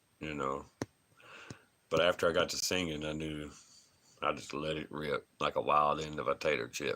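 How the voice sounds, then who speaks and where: This man leaves long, frequent pauses. Between them he moves at a moderate pace. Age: 30s. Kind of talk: live stream chat reading comments.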